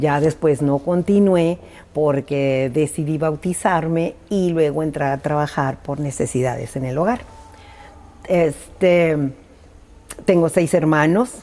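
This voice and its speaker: A woman's very deep, low voice at a very slow pace, with ordinary pitch variation and long, frequent pauses. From Mexico, Tijuana, Baja California. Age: 70s. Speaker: church leader. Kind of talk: interview.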